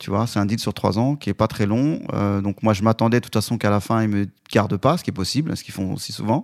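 In a very clean recording with a silent background and a dry, close sound with no echo, a man speaks very fast in a fairly low pitch with ordinary pitch variation. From Lyon suburbs, France (Vénissieux). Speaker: concert producer. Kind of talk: interview. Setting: studio.

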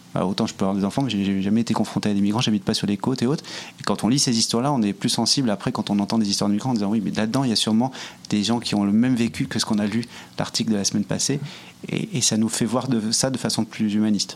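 Talking at a very fast pace with very even loudness, a man with a fairly low pitch and fairly even intonation comes through noticeable background noise. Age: 40s. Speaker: entrepreneur, nonprofit social network co-founder. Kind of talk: interview. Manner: halting, many repetitions.

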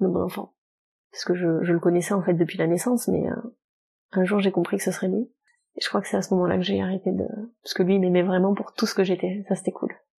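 A woman talks at a very fast pace yet leaves long, frequent pauses, her medium-pitched voice flat and monotone with vocal fry. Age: 30s. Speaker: novelist and publisher. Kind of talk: casual interview.

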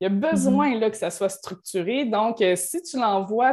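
Over a silent background on a very clean recording, a woman with a fairly high pitch uses an ordinary speaking voice, talking at a fairly slow pace with lively intonation. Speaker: certified coach. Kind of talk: podcast interview.

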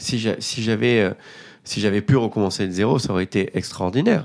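Against a silent background on a very clean recording, a man with a fairly low pitch speaks with ordinary pitch variation. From Marseille, northern districts, southern France. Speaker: restaurant entrepreneur. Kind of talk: interview testimony. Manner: halting, many repetitions and fillers.

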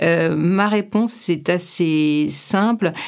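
A woman is speaking. Her pitch sits fairly low. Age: 50s. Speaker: clinical psychologist. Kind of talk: interview.

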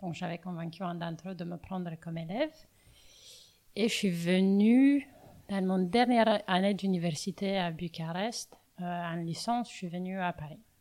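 Speaking with long, frequent pauses, a woman with a Romanian accent has a dark, mellow tone on a very clean recording with a silent background. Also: medium pitch for a woman, ordinary pitch variation. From Romania, Bucharest. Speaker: coffee roaster. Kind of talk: interview. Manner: halting.

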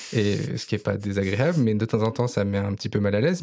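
A man's fairly low, dark, mellow voice at a moderate pace with ordinary pitch variation, in a very clean recording with a silent background. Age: 30s. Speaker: nurse. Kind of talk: testimony. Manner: halting.

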